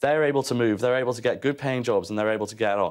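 A male speaker with little sound behind him. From North Wales. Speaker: think tank economist. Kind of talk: heated debate. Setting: TV studio. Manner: halting, repeats words. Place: studio. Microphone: lapel.

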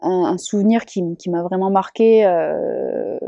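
A woman speaks at a very slow pace with fairly even intonation, her voice dry with no echo against a quiet background. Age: 20s. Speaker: professional surfer. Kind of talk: interview testimony. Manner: hesitant, many fillers. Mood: warm, smiling.

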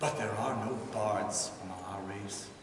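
A man speaks at a very slow pace, with light background noise and audible room echo. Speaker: storyteller bard. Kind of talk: storytelling performance of a myth. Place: stage.

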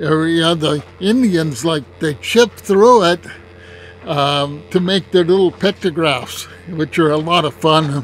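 Very slowly and at a high pitch, a man speaks over faint background music, the sound dry with no echo. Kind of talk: casual vlog commentary. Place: open country. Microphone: phone near.

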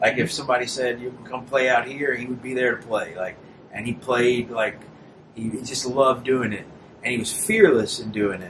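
Over noticeable background noise, a man with an American accent speaks with big swings in loudness. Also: fairly even intonation, fairly quick pace. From small town in the US, same place as the host. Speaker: singer-songwriter; guest. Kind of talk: casual chat. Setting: host's apartment. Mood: relaxed, friendly. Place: home room.

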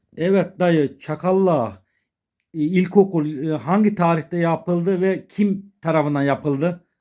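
A man speaks very slowly in a high pitch, with a dark, mellow tone and ordinary pitch variation. The recording is very clean, with a silent background. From Çakallık, Serik, Antalya, Turkey. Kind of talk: interviewer questions.

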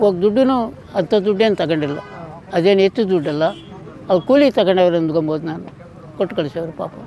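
A man speaks with a high pitch and ordinary pitch variation. Noticeable background noise sits behind him. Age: 80s+. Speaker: cattle farmer. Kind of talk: casual interview.

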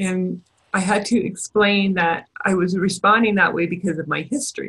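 With a bright, sharp tone and vocal fry, a woman talks at a moderate pace and medium pitch, keeping her intonation fairly even. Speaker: educational audiologist. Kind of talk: webinar presentation. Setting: webinar.

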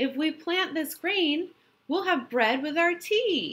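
A woman puts on a character voice, pitched extremely high and delivered at a fairly slow pace. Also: very clean recording, silent background. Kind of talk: children's story read-aloud. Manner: bossy, cheerful.

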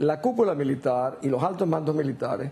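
Speaking at a fairly quick pace, a woman has a very deep, low pitch with ordinary pitch variation. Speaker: political commentator. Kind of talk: news interview. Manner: assertive. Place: studio. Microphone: lapel.

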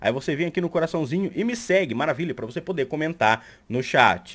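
A man with a Brazilian accent, animated in tone, with vocal fry. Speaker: YouTuber and Twitch streamer; YouTuber, Twitch streamer. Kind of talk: tutorial. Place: home room.

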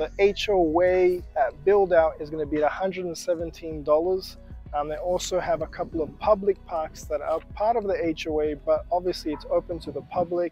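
A man talks in a dry sound with no echo while faint music plays in the background. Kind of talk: real estate presentation to camera. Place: street.

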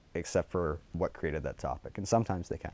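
At a very fast pace, a man speaks with a very deep, low pitch in a dry sound with no echo. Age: young. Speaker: journalism student. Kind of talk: interview answer. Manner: passionate. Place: studio. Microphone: lapel.

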